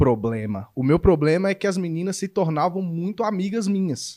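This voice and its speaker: A man with a Belo Horizonte accent, high-pitched and animated, with lively intonation at a moderate pace, on a very clean recording with a silent background and a dry, close sound with no echo. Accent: Belo Horizonte (mineiro). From Minas Gerais, Brazil. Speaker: YouTuber interviewer. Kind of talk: casual chat.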